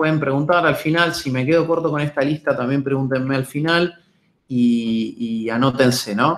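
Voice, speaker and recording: Speaking with ordinary pitch variation at a moderate pace, a man has an unremarkable speaking voice. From Argentina, Buenos Aires. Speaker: data science lecturer. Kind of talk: webinar lecture. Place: home room. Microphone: webcam.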